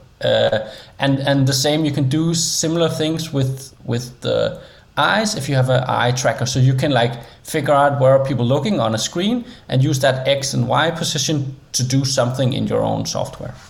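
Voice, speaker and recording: In a Danish accent, a man with a fairly high voice speaks at a moderate pace with ordinary pitch variation. Noticeable background noise is present. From Denmark. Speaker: interaction designer and creative coder. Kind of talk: interview.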